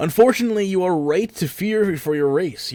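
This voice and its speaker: A man's put-on character voice, high-pitched, with light background noise. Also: fairly quick pace. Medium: game stream. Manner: authoritative, stern.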